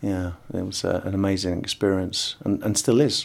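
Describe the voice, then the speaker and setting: A man speaks fairly slowly with an English accent. His pitch is fairly low. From England. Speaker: board game designer. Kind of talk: interview testimony. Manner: halting.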